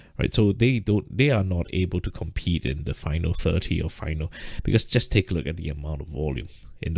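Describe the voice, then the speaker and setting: Very fast speech comes from a man whose voice has vocal fry. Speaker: trading teacher. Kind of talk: live stream lesson. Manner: halting, repetitive fillers.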